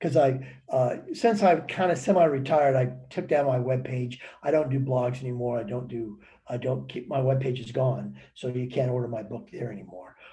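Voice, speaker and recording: A man talks at a moderate pace with a medium pitch and ordinary pitch variation. His loudness swings widely, with audible room echo and noticeable background noise. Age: 70s. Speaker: motivational speaker and author. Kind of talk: webinar talk. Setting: online webinar. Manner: animated.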